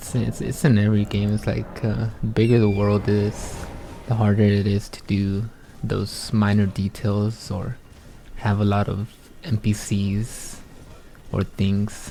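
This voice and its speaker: Soft-spoken and fairly slow, the voice runs in a monotone, flat intonation over noticeable background noise. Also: man, fairly low pitch for a man. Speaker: gaming streamer. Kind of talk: gameplay commentary. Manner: halting.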